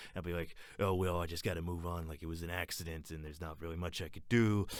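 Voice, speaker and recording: This man's voice is very deep and low, and he speaks very fast. The recording is very clean and the background is silent. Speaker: voice actor. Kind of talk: rambling improvised comedy blooper. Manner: rambling, fast.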